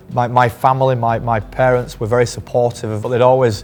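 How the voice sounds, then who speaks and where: Over noticeable background noise, a man speaks in a monotone, flat intonation. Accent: strong northern English. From northern England. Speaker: cricket team physiotherapist. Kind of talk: interview. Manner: halting, many repetitions.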